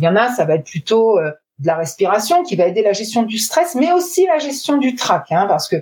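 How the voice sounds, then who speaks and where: At a moderate pace, a woman with a medium-pitched, somewhat breathy voice makes very wide pitch swings. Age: 40s. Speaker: sales trainer. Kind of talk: interview.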